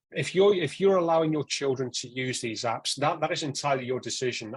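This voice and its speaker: A man speaks fairly quickly, his voice somewhat breathy and his pitch varying in an ordinary way. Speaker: online safety speaker. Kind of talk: talk to parents. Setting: evening talk with live audience. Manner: frequent repetitions and hesitations.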